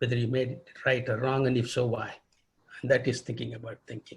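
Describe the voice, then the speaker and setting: Medium pitch from a male speaker. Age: 80s+. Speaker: retired pediatric rheumatologist. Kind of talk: interview. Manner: halting.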